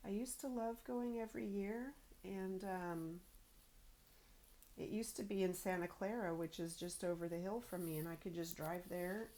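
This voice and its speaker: The voice has a dark, mellow tone and ordinary pitch variation, moving at a moderate pace. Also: woman. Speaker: crafting vlogger. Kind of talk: casual chat. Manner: soft-spoken.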